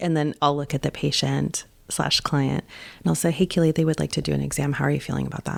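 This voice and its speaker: A woman speaks at a very fast pace with vocal fry. The recording is very clean and the background silent. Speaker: birth doula. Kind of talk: interview answer. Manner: confident, outspoken, fiery.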